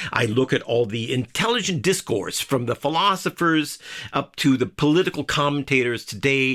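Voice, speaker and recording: The man's voice is fairly high in pitch. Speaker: writer and political commentator. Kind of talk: casual monologue. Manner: fast; halting, stumbling over words.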